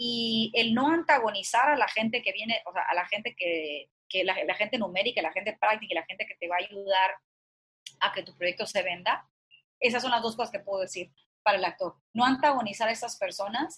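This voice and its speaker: A woman speaks in an unremarkable speaking voice, fairly high in pitch. She talks at a fairly quick pace with ordinary pitch variation. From Mexico, Culiacán, Sinaloa. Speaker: actress and producer. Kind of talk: interview.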